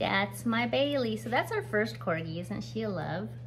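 A woman speaks at a moderate pace in a medium pitch, her intonation lively.

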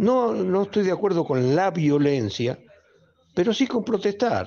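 This man's pitch swings very widely. His tone is dark and mellow, and his pace is moderate. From Argentina. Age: 70s. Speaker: caller (football fan). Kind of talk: listener message. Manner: animated. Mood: indignant, critical. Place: studio. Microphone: studio mic.

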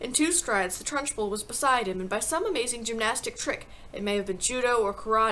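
The delivery is plain reading aloud, and the intonation is lively.

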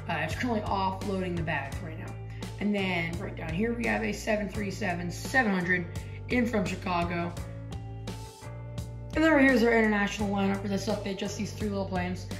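A woman talks at a moderate pace with long, frequent pauses. Audible room echo surrounds her, and clear music plays in the background. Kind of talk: casual tour commentary. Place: home room. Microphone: phone near.

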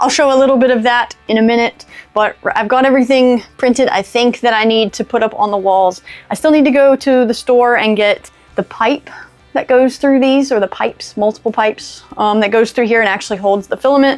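Faint music plays behind a woman speaking at a high pitch with fairly even intonation and very even loudness. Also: fairly quick pace. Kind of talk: casual vlog chat. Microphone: lapel.

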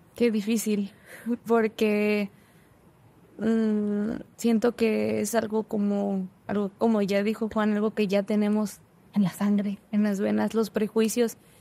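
Her medium-pitched voice is dark and mellow, delivered at a very slow pace with monotone, flat intonation and very even loudness. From northern Mexico. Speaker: engineering student; podcast guest. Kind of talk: casual chat. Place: studio. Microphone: studio mic.

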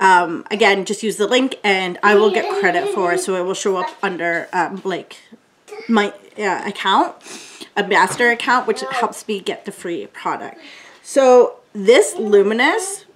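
A woman speaks at a fairly slow pace. Noticeable background noise can be heard. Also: lively intonation. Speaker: beauty vlogger. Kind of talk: casual product review chat. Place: home room.

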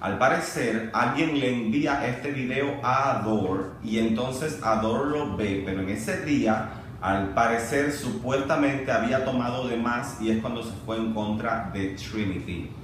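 A man at a fairly slow pace, with audible room echo and light background noise. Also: ordinary pitch variation. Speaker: vlogger. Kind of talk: casual vlog commentary. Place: home room. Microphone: camera far.

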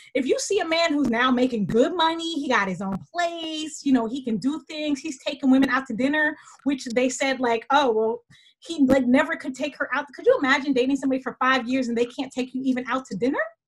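Against a quiet background, a woman talks at a fairly quick pace in a high pitch. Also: ordinary pitch variation. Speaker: web show co-host. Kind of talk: casual discussion commentary. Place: home room. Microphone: video call.

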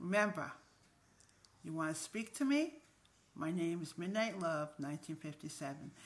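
Bright and sharp in tone, a woman speaks at a moderate pace with a fairly low pitch and ordinary pitch variation. Her pauses are long and frequent. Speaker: video blogger. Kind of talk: casual vlog monologue. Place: home room. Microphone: phone near.

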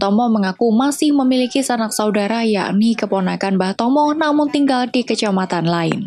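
A woman with an ordinary speaking voice talks at a fairly quick pace. Her pitch is fairly high with ordinary variation, and her loudness stays very even. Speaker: news reporter. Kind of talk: scripted news narration.

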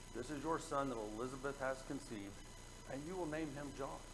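A man's voice carries ordinary pitch variation. There is noticeable background noise. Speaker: preacher. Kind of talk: sermon. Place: church.

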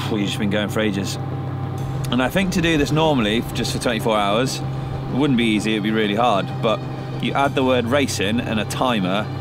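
A man talks at a moderate tempo with ordinary pitch variation while noticeable noise runs behind him. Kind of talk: casual vlog chat. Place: open country.

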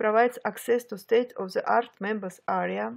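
At a moderate pace, a woman speaks with a Russian accent in a fairly high pitch. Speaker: online marketing beginner vlogger. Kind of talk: personal testimony narration. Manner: halting.

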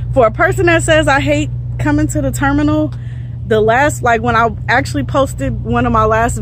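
A woman is speaking. The sound is dry with no echo, and there is light background noise. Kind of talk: casual vlog chat. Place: street. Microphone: phone near.

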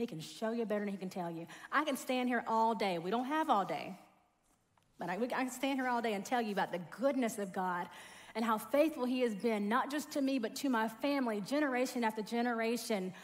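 A woman with a Southern US accent, high in pitch, at a fairly quick pace, against a quiet background. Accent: Southern US (Georgia). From US South, rural South Georgia. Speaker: corporate trainer and speaker; corporate trainer, speaker. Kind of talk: sermon. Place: church. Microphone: headset.

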